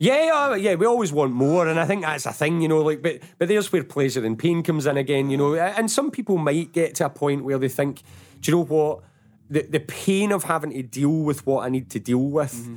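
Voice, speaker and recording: Speaking at a fairly quick pace, a man with a Glaswegian accent uses a fairly high pitch. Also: ordinary pitch variation. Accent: Glaswegian Scottish. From Scotland, Paisley. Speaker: motivational coach and trainer. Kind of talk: casual chat.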